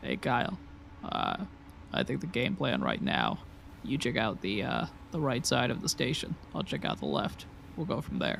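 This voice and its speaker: A gruff, gravelly put-on character voice from a man, moderate in pace with long, frequent pauses, very even in loudness, over clear background noise. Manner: commanding, matter-of-fact.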